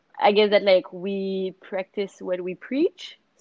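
This voice has a Quebec accent and moves at a very slow pace. Its intonation stays fairly even. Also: woman. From Montreal, Quebec. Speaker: surf and yoga business founder. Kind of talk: interview. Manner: hesitant, many fillers.

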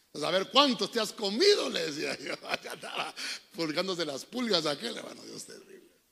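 At a fairly quick pace, the speaker uses a raised, projected voice with an animated tone. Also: man. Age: 40s. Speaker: pastor. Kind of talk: sermon. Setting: church.

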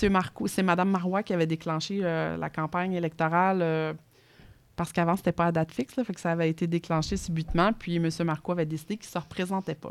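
Very fast speech from a woman with a Quebec accent, fairly low in pitch with fairly even intonation, on a very clean recording with a silent background. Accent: Québécois French. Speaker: politician. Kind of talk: interview. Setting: studio.

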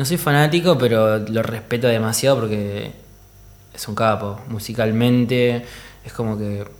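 Over audible room echo, a man talks at a moderate pace in a medium pitch. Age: 30s. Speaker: DJ. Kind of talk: casual chat.

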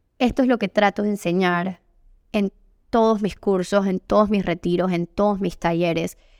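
A woman speaks at a moderate pace. Her pitch is medium and her intonation fairly even. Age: 30s. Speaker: yoga teacher and women's retreat facilitator. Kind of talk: solo podcast monologue. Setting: home by the beach.

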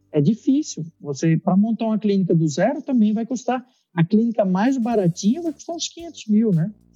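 Music plays in the background as a man with a high voice talks at a moderate pace with very wide pitch swings and hardly any pauses, the sound dry and close with no echo. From Brazil, Recife (Pernambuco). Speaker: dentist. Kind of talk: casual interview. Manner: halting, with frequent repetitions.

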